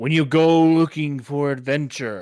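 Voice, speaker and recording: At a fairly slow pace, a man uses a put-on character voice set at a fairly high pitch. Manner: attention-grabbing.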